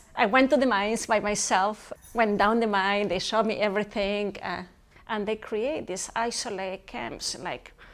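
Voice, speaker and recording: A woman's medium-pitched voice with fairly even intonation and a Spanish accent. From Chile, Santiago. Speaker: professor. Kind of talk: interview. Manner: fast.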